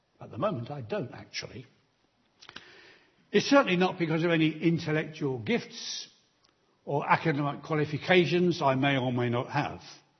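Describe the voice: A man speaks at a moderate pace with a fairly high pitch. His intonation is lively.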